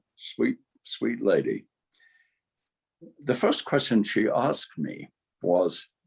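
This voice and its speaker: This speaker has an English accent. The pace is fairly slow. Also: man. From England. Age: 80s+. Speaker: lifestyle coach. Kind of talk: interview testimony.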